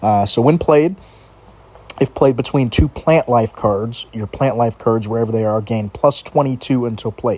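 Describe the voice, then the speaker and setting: A man speaks at a medium pitch and a moderate pace. His pitch variation is ordinary, with noticeable background noise. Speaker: mobile card game youtuber. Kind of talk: gameplay commentary. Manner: casual.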